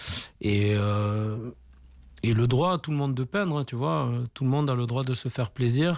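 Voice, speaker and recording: A man speaks at medium pitch and a moderate pace. His pitch variation is ordinary, and the recording is very clean with a silent background. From southwestern France, Tarbes. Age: 40s. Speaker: graffiti artist. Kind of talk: radio interview. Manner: casual, hesitant with many fillers.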